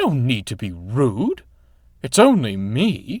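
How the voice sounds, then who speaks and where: A man in a put-on character voice speaks at a fairly slow pace with very wide pitch swings. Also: medium pitch for a man. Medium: read story. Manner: prim, huffy.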